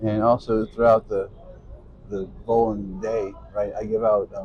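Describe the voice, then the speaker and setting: A man talks at a fairly slow pace and a fairly low pitch, with fairly even intonation. It is a normal speaking voice. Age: 60s. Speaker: youth bowling coach. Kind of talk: interview. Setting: in-person at a bowling center.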